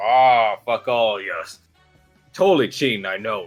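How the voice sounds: This man uses a gruff, put-on character voice at a medium pitch. His pace is moderate, with faint music in the background.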